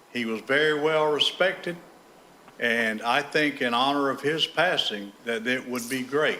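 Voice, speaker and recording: A man with an American accent talks at a fairly slow pace. His medium-pitched voice has ordinary pitch variation. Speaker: member of the public speaking at a meeting. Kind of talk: public comment. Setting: school board meeting room. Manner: loud.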